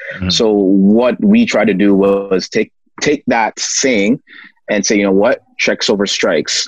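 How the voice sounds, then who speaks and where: A man with a plain, everyday voice, fairly low pitch and moderate pace, in a dry, close sound with no echo. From Toronto, Canada. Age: 30s. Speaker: financial literacy educator and author. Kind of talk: casual interview.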